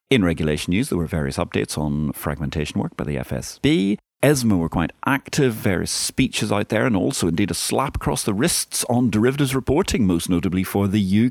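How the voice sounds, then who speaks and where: A man with a very deep, low pitch talks at a fairly quick pace, his pitch swinging very widely. The sound is dry and close with no echo, on a very clean recording with a silent background. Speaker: financial markets podcast host. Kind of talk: scripted news bulletin. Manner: formal.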